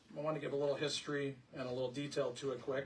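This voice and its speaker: A fairly high-pitched male voice comes through noticeable background noise. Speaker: village president. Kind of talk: presentation at public hearing. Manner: loud.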